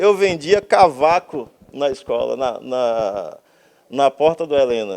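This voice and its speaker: The man speaks with lively intonation. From Brazil, Bahia (Camaçari). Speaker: architect, artist and writer. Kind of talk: casual interview conversation. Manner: animated.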